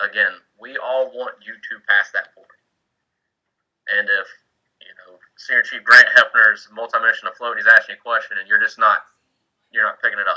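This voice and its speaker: The speech moves at a moderate pace with long, frequent pauses and big swings in loudness. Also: man. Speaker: Coast Guard senior chief mentoring board candidates. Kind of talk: informal mentoring talk on a video call. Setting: online video meeting from home man cave. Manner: casual, with many fillers and restarts.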